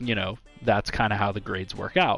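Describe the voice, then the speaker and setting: Moderately paced speech from a man, with ordinary pitch variation. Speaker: gaming YouTuber. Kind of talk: tutorial. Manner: halting, stumbles over words; casual, conversational.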